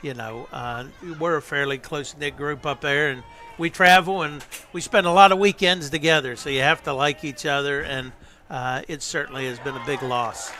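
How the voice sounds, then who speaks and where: At a moderate pace, a man speaks in a fairly high voice with ordinary pitch variation, over noticeable background noise. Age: 60s. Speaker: sports association director. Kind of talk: casual chat.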